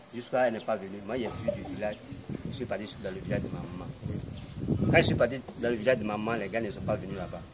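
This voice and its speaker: Very fast speech with fairly even intonation amid loud background noise. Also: man, fairly low pitch for a man. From Côte d'Ivoire. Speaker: confessing deliverance subject. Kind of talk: testimony. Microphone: phone near.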